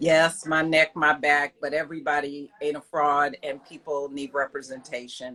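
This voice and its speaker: A loud woman's voice, very deep and low in pitch, bright and sharp in tone, with hardly any pauses. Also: moderate pace. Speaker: yarn shop owner and lawyer. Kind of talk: casual interview. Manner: animated.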